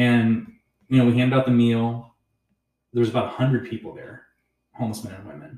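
Long, frequent pauses break up somewhat breathy speech in an American accent, with a dark, mellow tone and fairly even intonation. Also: man, medium pitch for a man, fairly quick pace, big swings in loudness. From Texas, rural central (Kempner). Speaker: pastor. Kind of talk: casual chat. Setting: in a home.

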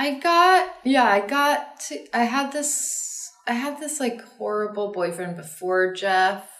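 In a room with audible echo, a woman with an American accent speaks very slowly at a high pitch, with very wide pitch swings. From Texas (Austin). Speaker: dancer and choreographer. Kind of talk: casual chat.

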